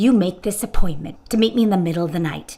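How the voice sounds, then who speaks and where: A woman's loud, growling put-on character voice at a medium pitch, delivered at a very fast pace. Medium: audio drama. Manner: brash, blunt.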